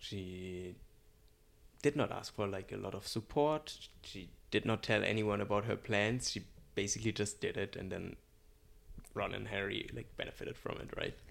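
A man's fairly low voice with vocal fry, ordinary pitch variation and a moderate pace, broken by long, frequent pauses, on a very clean recording with a silent background. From Germany. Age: 20s. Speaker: podcast co-host. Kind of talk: casual chat.

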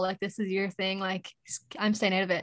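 Fairly quick speech from a woman in an Irish accent, medium in pitch, with monotone, flat intonation. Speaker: podcaster. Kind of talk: casual chat.

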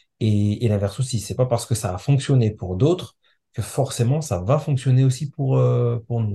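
This man's voice is somewhat breathy, with a dark, mellow tone, a medium pitch, ordinary pitch variation and a moderate pace. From France, Comorian parents. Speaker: software engineer and parent. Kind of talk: podcast interview. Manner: halting.

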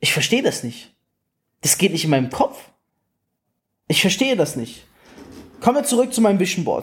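Animated in tone, a man with a high pitch talks at a fairly quick pace, swinging very widely in pitch and leaving long, frequent pauses. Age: 20s. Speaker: network marketing coach. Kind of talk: motivational talk.

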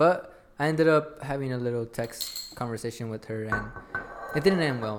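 There is noticeable background noise behind this man. He speaks at a moderate pace with ordinary pitch variation. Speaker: podcast host. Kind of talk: casual chat. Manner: casual, slangy.

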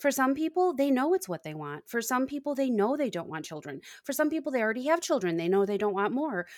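A woman with a high voice talks at a very fast pace, with hardly any pauses and very wide pitch swings. The recording is very clean, the background silent. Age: 40s. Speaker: nurse and podcast host. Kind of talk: casual chat.

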